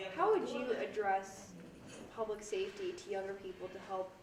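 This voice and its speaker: Medium-pitched woman at a moderate pace, monotone and flat in intonation, over noticeable background noise. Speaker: interviewer. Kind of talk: interview questions.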